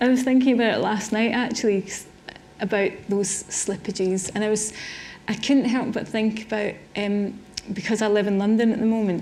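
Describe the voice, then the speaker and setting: A woman with a Scottish accent, fairly high pitch and flat, monotone intonation at a moderate pace, amid noticeable background noise and audible room echo. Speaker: artist. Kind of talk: public conversation on stage. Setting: symposium with audience. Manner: hesitant, repeats words.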